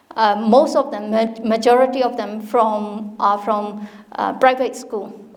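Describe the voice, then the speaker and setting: Very slow, monotone, flat speech from a woman at a fairly high pitch, with audible room echo. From Myanmar. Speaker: university dean. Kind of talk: informal talk to an audience. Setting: hall with live audience. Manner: halting, many fillers and restarts.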